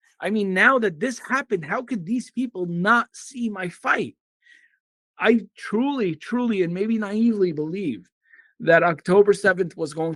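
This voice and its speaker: A man talks with an Arabic accent. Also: quiet background. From Syria (Damascus). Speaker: immigration attorney and activist. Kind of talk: podcast interview. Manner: animated.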